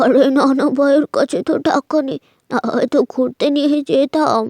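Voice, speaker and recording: Using a cartoonish character voice, a woman speaks at a high pitch and a moderate pace. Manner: gentle, affectionate.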